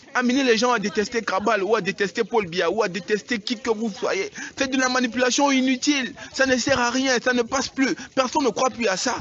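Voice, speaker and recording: A man with an extremely high pitch talks at a moderate pace, with ordinary pitch variation and very even loudness, over noticeable background noise. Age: young. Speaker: local politician. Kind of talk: emotional public statement. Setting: outdoors. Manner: pleading.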